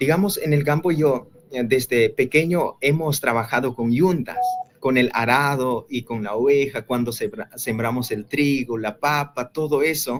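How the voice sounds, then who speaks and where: In an Andean accent, a man talks at a fairly slow pace with a fairly high pitch and ordinary pitch variation. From rural Bolivia. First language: Quechua (speaking Spanish). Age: 20s. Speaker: young evangelist. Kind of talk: interview testimony. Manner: halting, with many fillers.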